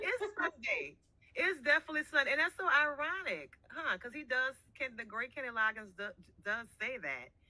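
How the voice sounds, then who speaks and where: Raised and projected, a woman's high-pitched voice moves at a moderate pace with very wide pitch swings and big swings in loudness over a quiet background. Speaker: podcast co-host. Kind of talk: casual chat. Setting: live stream. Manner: halting, many fillers. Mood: playful, joking. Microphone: video call.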